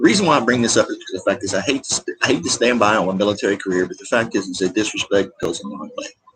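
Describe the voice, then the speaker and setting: This speaker has a Southern US accent and talks at a very fast pace. There are hardly any pauses, and the loudness swings widely. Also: man. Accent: Southern US rural. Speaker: military veteran vlogger. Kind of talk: casual rant vlog. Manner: animated.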